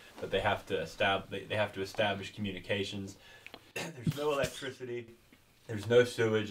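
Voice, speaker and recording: A normal speaking voice over light background noise. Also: man. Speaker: history professor. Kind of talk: interview questions. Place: home room.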